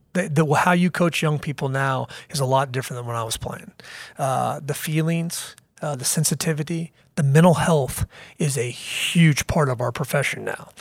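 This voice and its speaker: A man talks in a fairly high pitch with a Midwestern American accent. His voice is somewhat breathy. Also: ordinary pitch variation, moderate pace. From US Midwest, Kansas City. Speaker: university athletics director. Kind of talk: interview. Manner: halting, many fillers.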